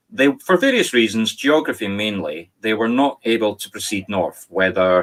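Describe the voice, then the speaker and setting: The voice carries a Scottish accent. The pace is moderate. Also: man. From Scotland. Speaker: spirit medium. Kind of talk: talk to online audience.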